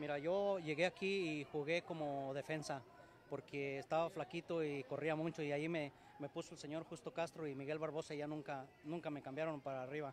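A man speaks fairly quickly in a fairly high, monotone, flat voice. The sound is dry with no echo, with light background noise. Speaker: amateur football team founder. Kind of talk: interview. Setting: sports complex. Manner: halting. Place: hall. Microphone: poor live stream signal; handheld.

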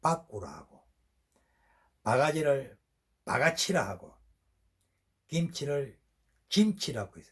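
Somewhat breathy and fairly high-pitched, a man talks at a very slow pace. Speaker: regional dialect presenter. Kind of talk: casual talk to camera.

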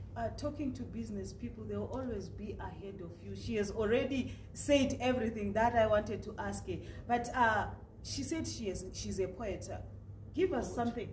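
At a moderate pace, a woman speaks with big swings in loudness, light background noise and audible room echo. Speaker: news interviewer. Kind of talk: interview host talk. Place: studio.

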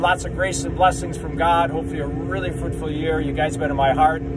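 A man races along at a very fast pace against loud background noise. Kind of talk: casual vlog chat, blessing message. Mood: cheerful, warm. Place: farm machine. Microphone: phone near.

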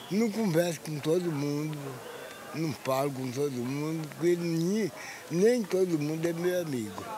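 Amid noticeable background noise, a man with a fairly high pitch speaks at a fairly slow pace with ordinary pitch variation. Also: dry sound with no echo. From Minas Gerais, Brazil. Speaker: interviewee. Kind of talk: interview answer.

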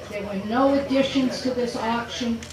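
A woman's high, monotone voice with flat intonation at a moderate pace, with audible room echo and noticeable background noise. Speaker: auctioneer. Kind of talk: auctioneer introducing a lot before bidding. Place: tent.

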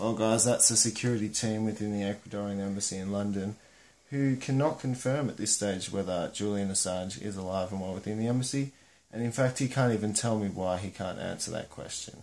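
A fairly low-pitched male voice at a fairly quick pace, with ordinary pitch variation. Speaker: vlogger. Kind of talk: casual vlog chat. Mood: serious, conspiratorial. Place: home room. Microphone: phone near.

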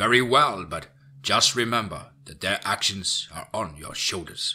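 Putting on a character voice, a man uses a fairly low pitch with a bright, sharp tone, a slightly husky edge, lively intonation and a fairly slow pace.

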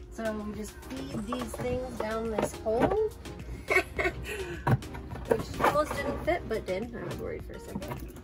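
Loud music is playing in the background. Over it, a woman talks. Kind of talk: casual tutorial chat. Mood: light, joking. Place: home room. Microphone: phone near.

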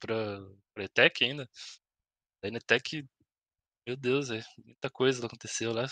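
Against a quiet background, a man with a Paraná accent speaks at a fairly slow pace in a bright, sharp tone with fairly even intonation, long, frequent pauses and big swings in loudness, the sound dry with no echo. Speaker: podcast guest, host's school friend. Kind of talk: casual chat. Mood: relaxed, reminiscing. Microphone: headset.

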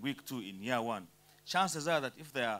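The tone is bright and sharp. A man delivers his words at a moderate pace. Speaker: speaker. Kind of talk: panel talk / motivational speech. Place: hall. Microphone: handheld.

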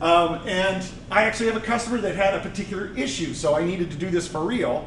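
Over light background noise and audible room echo, a man speaks at a fairly quick pace. His pitch is high, with ordinary variation. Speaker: conference presenter. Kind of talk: conference talk. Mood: relaxed, joking. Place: hall.

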